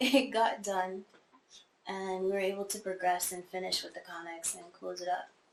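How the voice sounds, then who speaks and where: Someone with a slight Caribbean accent speaks at a moderate pace with fairly even intonation. Music plays in the background, and the loudness swings widely. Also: woman, medium pitch for a woman. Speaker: war veteran. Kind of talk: oral history interview. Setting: in a home. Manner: casual.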